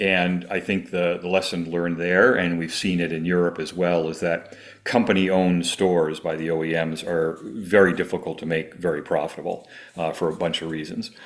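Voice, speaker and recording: Speaking at a fairly quick pace, a man uses a very deep, low pitch and monotone, flat intonation. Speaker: automotive industry researcher. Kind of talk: interview. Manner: halting, many fillers.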